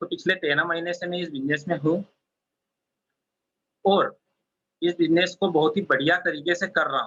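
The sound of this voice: Bright and sharp in tone with a slightly husky edge, a man speaks at a high pitch. His pace is moderate and his pitch variation ordinary.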